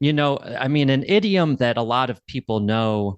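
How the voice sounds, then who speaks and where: A man speaks in a normal speaking voice with ordinary pitch variation at a moderate pace. The sound is dry and close with no echo, over a quiet background. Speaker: English teacher, podcast host. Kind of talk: podcast intro and interview questions.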